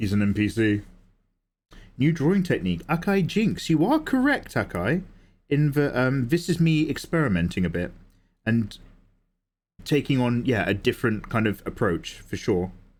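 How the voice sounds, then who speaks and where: In an English accent, a man speaks at a moderate pace with very wide pitch swings and long, frequent pauses, on a very clean recording with a silent background. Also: medium pitch for a man. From England. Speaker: artist livestreamer. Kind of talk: casual livestream chat while drawing.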